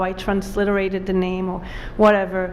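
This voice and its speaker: Speaking with an Israeli accent, a woman is heard through noticeable background noise and audible room echo. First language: Hebrew. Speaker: author. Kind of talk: author talk with slides. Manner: casual with many fillers.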